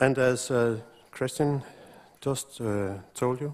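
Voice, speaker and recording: A man talks very slowly in a Danish accent, at a medium pitch with ordinary pitch variation. The recording is very clean with a silent background. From Denmark. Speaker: road engineer researcher. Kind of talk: conference presentation.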